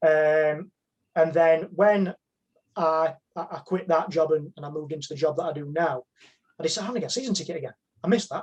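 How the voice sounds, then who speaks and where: A man talks at a very fast pace with long, frequent pauses, a fairly high pitch, ordinary pitch variation and big swings in loudness. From northern England, Sheffield. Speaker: football fan. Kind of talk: casual chat.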